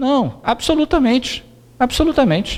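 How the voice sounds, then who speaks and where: A man speaks at a moderate pace. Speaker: spiritist lecturer. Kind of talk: lecture.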